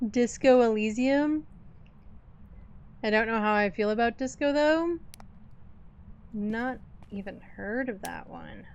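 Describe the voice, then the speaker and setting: Pausing long and often, a woman speaks at a fairly slow pace with fairly high pitch, ordinary pitch variation and big swings in loudness. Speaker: gaming streamer. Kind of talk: live gameplay stream chat. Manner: slow with weird pauses.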